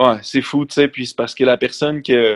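Fairly quick speech from a man, pitched in the middle range. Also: dry, close sound with no echo. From Quebec, Centre-du-Québec/Mauricie. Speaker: high school teacher and lyricist. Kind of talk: casual chat.

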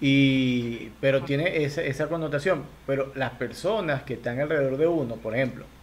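Speaking at a fairly quick pace with a Venezuelan accent, a man uses a fairly high pitch and ordinary pitch variation. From Venezuela, Lara state. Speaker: comedian and podcast host. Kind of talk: casual chat. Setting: video call.

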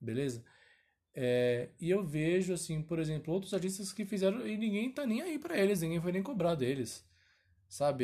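His tone dark and mellow, a man with a high pitch moves through very wide pitch swings at a moderate pace. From São Paulo, Brazil. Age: 20s. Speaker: singer and podcast host. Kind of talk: casual solo podcast monologue.

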